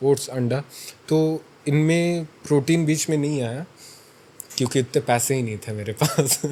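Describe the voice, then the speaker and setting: Here is a man with a normal speaking voice. His pitch is fairly high, with ordinary pitch variation. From Chhattisgarh, India. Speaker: fitness influencer and college student. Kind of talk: interview answer. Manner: casual.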